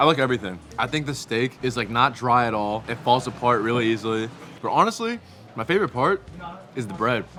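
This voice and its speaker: Noticeable background noise fills the recording. Through it, a man speaks at a fairly quick pace. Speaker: food vlogger. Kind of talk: casual food review vlog.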